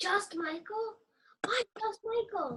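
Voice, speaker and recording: This is a woman doing a put-on character voice. It is squeaky and pitched extremely high. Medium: stage play. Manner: blunt, earnest.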